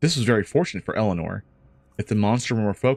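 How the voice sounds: A natural reading voice comes through with ordinary pitch variation.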